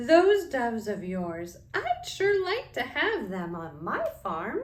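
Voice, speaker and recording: Doing a put-on character voice, a woman speaks in a raised, projected voice at a high pitch, with very wide pitch swings and a very slow pace. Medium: read story.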